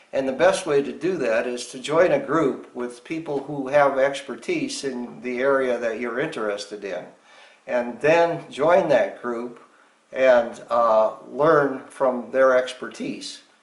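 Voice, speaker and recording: A man at a fairly slow pace with audible room echo. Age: 70s. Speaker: retired engineering professor and hiker. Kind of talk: interview. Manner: halting with fillers.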